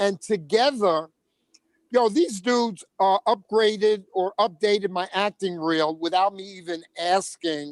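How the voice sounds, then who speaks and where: Speaking at a fairly slow pace, a man has a high pitch. His pitch variation is ordinary. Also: dry, close sound with no echo. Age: 70s. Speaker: comedian. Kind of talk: casual chat. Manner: halting.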